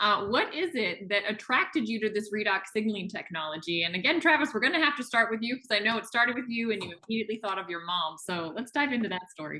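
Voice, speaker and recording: Against noticeable background noise, a woman talks very fast with hardly any pauses, at a fairly high pitch and with lively intonation. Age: 30s. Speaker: wellness product promoter and biologist. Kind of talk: interview hosting. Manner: enthusiastic.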